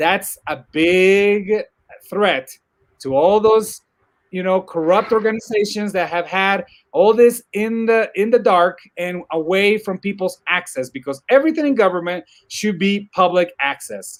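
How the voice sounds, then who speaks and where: Over a very clean recording with a silent background, a man with a Spanish accent and a high pitch speaks fairly slowly in an animated tone with ordinary pitch variation. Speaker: technology commentator. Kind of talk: casual discussion. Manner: animated, repetitive false starts.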